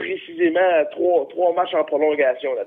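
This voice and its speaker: Moderate pace and fairly even intonation from a man, with noticeable background noise. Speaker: hockey pundit. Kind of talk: sports predictions chat.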